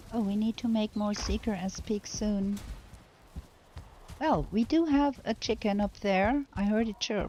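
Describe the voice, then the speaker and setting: Speaking at a fairly slow pace with long, frequent pauses, a woman with a German accent has a dark, mellow tone, a somewhat breathy sound and ordinary pitch variation. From Germany. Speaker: video game streamer. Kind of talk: live gameplay commentary. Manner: halting.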